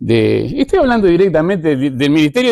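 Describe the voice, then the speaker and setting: A man speaks with a Uruguayan accent. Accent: Uruguayan Rioplatense Spanish. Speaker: tourism journalist and media director. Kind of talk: conference talk.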